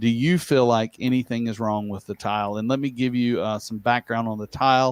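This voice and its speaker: On a very clean recording with a silent background, a man of medium pitch talks at a fairly quick pace with hardly any pauses and fairly even intonation. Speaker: tile industry technical director and livestream host. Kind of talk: live-stream casual chat. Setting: livestream. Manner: fast; halting, many repeated words.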